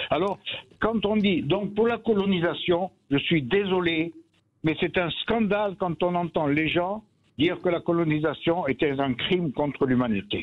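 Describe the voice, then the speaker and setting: A man's high voice, fairly slow pace, ordinary pitch variation and very even loudness. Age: 80s+. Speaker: caller. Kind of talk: radio call-in. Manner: animated; halting.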